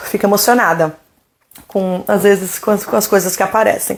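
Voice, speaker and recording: Someone speaks at a moderate pace in an animated tone. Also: woman. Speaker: doula. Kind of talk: live Q&A stream.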